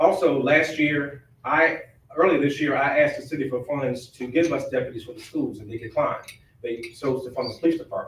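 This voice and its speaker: A somewhat breathy voice with an American accent, at a moderate pace with fairly even intonation. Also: man. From Virginia, Hampton Roads (Chesapeake). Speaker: sheriff. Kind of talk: candidate forum speech. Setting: public forum with audience.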